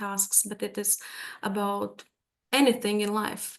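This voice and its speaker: A woman with a Latvian accent speaks at a fairly slow pace. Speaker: language teacher. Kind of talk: webinar presentation. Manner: hesitant, many fillers.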